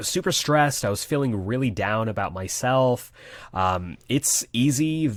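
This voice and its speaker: Fairly slow speech with lively intonation on a very clean recording with a silent background. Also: man, medium pitch for a man. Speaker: actor and voice actor. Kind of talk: casual chat. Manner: articulate, well spoken.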